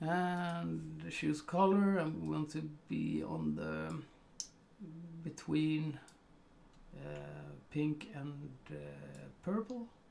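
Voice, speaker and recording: The speaker, in a Swedish accent, moves at a very slow pace with long, frequent pauses. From Sweden. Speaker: photo colorization artist. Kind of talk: tutorial. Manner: hesitant, many fillers.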